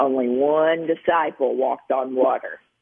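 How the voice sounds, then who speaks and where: A woman with a Kentucky accent speaks at a very deep, low pitch. Her pitch varies in an ordinary way. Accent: Southern US (Kentucky). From Western Kentucky. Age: 50s. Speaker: nurse practitioner and author. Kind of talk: interview. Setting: radio interview.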